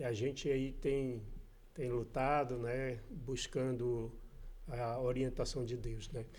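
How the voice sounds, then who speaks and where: Very slowly and in a flat monotone, a man speaks at a medium pitch with an audible room echo. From Brazil, Amazonas (Manaus). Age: 50s. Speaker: church member guest. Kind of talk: casual interview.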